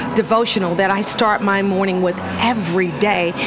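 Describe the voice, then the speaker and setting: A woman with an American accent speaks at a moderate pace and a medium pitch. Noticeable background noise and audible room echo fill the recording. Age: 60s. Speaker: motivational speaker and teacher. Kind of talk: casual interview. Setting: coffee shop. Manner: animated.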